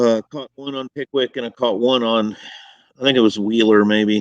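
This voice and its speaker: A man mumbles with a Southern accent at a medium pitch and ordinary pitch variation. The sound is dry and close, with no echo. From US South. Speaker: bass angler. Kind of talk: casual chat. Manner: mumbling.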